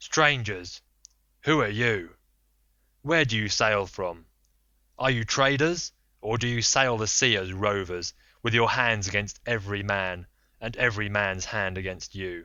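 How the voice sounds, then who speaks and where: A man puts on a booming character voice, fairly low in pitch, with ordinary pitch variation. He talks at a moderate pace with long, frequent pauses. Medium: read story. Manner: contemptuous, menacing.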